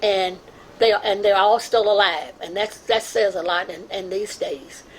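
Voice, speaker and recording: Noticeable background noise sits behind a woman speaking at medium pitch and a moderate pace. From Louisville, Kentucky. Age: 90s. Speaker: community elder and artist. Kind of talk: oral history testimony. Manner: halting.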